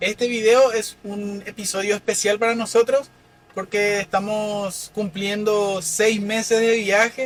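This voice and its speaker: A man's voice, high in pitch. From Paraguay, Limpio (Central department). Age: 20s. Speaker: van-life vlogger. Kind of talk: casual chat.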